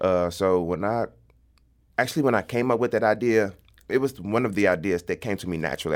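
A man talks at a very fast pace in a St. Louis accent. His pitch is fairly low. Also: very clean recording, silent background. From St. Louis, North City. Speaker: comedian and content creator. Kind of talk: casual interview.

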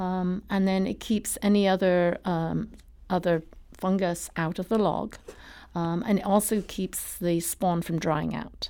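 In an English accent, a woman speaks at a fairly slow pace and medium pitch, her dark, mellow tone and fairly even intonation captured on a very clean recording with a silent background. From England. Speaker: mushroom farmer. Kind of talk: radio interview. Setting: studio.

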